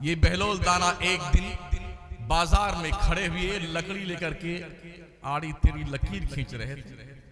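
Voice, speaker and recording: Noticeable background noise sits behind a man's high-pitched voice. His loudness swings widely. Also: ordinary pitch variation. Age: 60s. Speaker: Islamic preacher (mufti). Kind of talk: sermon. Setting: stage with audience at religious gathering. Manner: animated.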